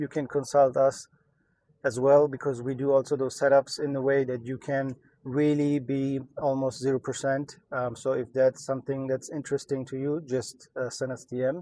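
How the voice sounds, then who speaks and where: A man with a German accent speaks at a medium pitch and a moderate pace, his tone dark and mellow and his intonation monotone and flat. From Germany. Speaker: entrepreneur, e-commerce YouTuber. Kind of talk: casual vlog update. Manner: many filler words, hesitant.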